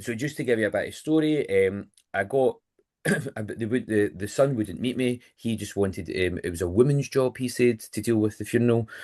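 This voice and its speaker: A man's dark, mellow voice in a Lanarkshire accent, medium in pitch with ordinary pitch variation, at a fairly quick pace. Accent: Scottish (Lanarkshire). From Scotland, Motherwell. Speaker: funeral and wedding celebrant. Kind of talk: podcast interview. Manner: loud; direct.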